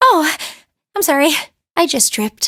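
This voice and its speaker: A woman's squeaky put-on character voice, high in pitch, at a moderate pace, with a dry, close sound and no echo. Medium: fan dub.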